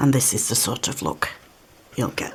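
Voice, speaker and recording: Over noticeable background noise, a woman with a British accent talks at a fairly slow pace. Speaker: card-making crafter. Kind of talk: craft tutorial. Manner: relaxed, slightly halting.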